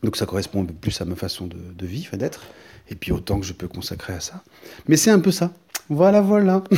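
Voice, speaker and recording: A man's medium-pitched, somewhat breathy voice with a dark, mellow tone, very wide pitch swings and big swings in loudness, at a fairly quick pace broken by long, frequent pauses. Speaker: artist podcaster. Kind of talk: personal podcast monologue. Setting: artist's studio. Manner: calm, measured; hesitant, many fillers and repetitions.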